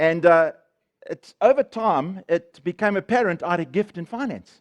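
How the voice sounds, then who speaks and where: A man speaks loudly in a high, animated voice, the sound dry and close with no echo over a quiet background. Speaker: guest speaker sharing testimony. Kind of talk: testimony.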